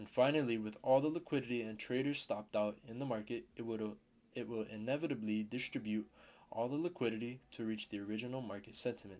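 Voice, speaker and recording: A man's medium-pitched voice at a very fast pace. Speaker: trading mentor. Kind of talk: tutorial. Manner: halting, self-correcting.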